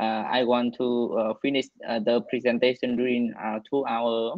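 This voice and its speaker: The speaker has a Vietnamese accent. The pace is moderate. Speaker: physician presenting at grand rounds. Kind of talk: medical case discussion. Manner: halting.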